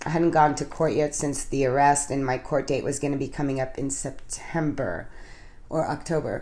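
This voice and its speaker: A woman's very deep, low voice in a monotone, flat delivery. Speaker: speaker sharing recovery story at a twelve-step meeting. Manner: casual, conversational, frequent filler words.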